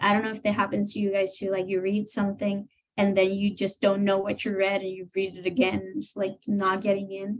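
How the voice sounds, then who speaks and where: Using monotone, flat intonation, a woman with a non-native accent talks with hardly any pauses. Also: medium pitch for a woman, fairly quick pace. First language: not English. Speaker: grad student. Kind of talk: panel discussion.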